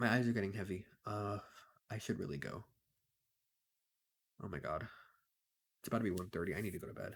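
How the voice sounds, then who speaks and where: At a very fast pace broken by long, frequent pauses, a man speaks at a fairly low pitch with ordinary pitch variation. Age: 20s. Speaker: vlogger. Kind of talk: casual monologue vlog. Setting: home, talking to camera late at night. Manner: animated.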